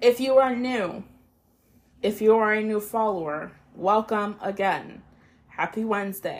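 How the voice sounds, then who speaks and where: A woman speaks at a fairly high pitch, with long, frequent pauses. The recording is very clean, with a silent background. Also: fairly even intonation. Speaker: solo podcast host. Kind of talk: casual solo monologue. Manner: casual with frequent filler words and pauses.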